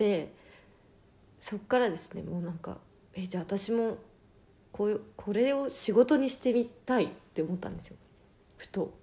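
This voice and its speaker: Woman with a dark, mellow tone, moderate pace, ordinary pitch variation, long, frequent pauses and big swings in loudness. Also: medium pitch for a woman. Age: 20s. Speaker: podcast host and adult film actress. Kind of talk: casual solo talk. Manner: frequent laughter.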